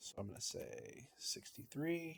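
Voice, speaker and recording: With ordinary pitch variation, a man talks in a voice that is somewhat breathy. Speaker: teacher. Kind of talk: tutorial.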